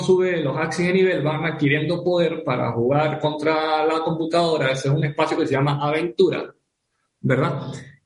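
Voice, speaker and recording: Amid audible room echo, a man with a fairly high pitch speaks at a moderate pace with fairly even intonation. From Venezuela. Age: 30s. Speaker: professional poker player and gamer. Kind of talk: casual interview.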